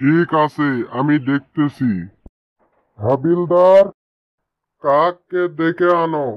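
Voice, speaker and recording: A man's cartoonish character voice, fairly high-pitched and very slow. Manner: authoritative, curt.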